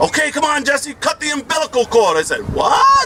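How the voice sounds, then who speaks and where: Amid noticeable background noise, the speaker talks fairly quickly in a raised, projected voice with an animated tone. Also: man. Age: 60s. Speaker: education professor and activist speaker. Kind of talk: community meeting speech. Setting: community meeting with audience.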